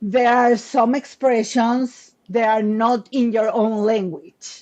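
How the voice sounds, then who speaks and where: At a very slow pace, a woman with a Spanish accent speaks at a fairly high pitch with fairly even intonation and very even loudness. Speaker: business coach and author. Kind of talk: interview conversation.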